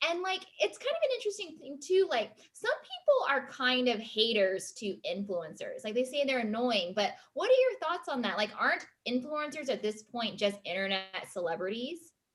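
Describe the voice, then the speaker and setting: A woman's high voice with very wide pitch swings, hardly any pauses and a moderate pace. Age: 30s. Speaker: talk show host. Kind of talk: casual chat.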